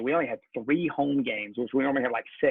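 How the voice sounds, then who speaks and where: The speaker keeps a fairly even intonation in a Southern US accent. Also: man. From US South, Georgia. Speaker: pastor. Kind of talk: casual chat.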